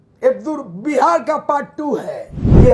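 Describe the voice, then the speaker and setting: Loud and with lively intonation, a man speaks at a very slow pace with an extremely high pitch over noticeable background noise. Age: 70s. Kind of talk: public speech.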